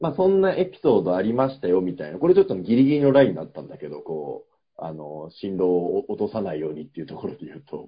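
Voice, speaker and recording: A man talks at a very fast pace with hardly any pauses and big swings in loudness. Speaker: podcast co-host, office worker. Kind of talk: casual chat.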